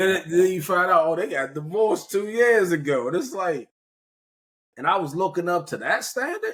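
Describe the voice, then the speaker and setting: This man has a high-pitched voice and an American accent. His tone is animated, with a moderate pace and ordinary pitch variation. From US Mid-Atlantic, Prince George's County, Maryland. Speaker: podcast host. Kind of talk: casual conversational interview.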